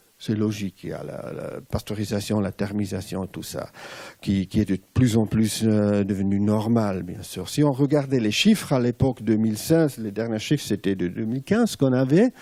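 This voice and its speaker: Speaking in a Swiss German accent, a man with a fairly low pitch and a dark, mellow tone talks at a moderate pace with ordinary pitch variation. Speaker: former advertising executive turned cheese entrepreneur. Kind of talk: conference talk. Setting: stage with audience. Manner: halting.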